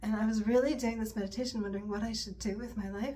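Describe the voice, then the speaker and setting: In a room with audible echo and noticeable background noise, a woman speaks softly. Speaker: yoga instructor. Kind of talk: casual chat. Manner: soft-spoken.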